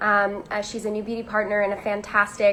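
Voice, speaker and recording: A woman with an American accent, an ordinary speaking voice, at a moderate pace. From Virginia. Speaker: magazine beauty director, interviewer. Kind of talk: live-streamed interview. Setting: live video stream.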